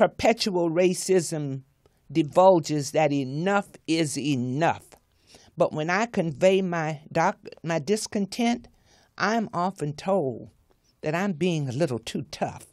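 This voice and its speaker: A woman with a Southern US accent, fairly low in pitch, lively in intonation and very slow in pace, against a quiet background. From US South (Florida). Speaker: author; guest. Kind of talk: reading aloud her own commentary. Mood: earnest, indignant about racism. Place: studio. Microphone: studio mic.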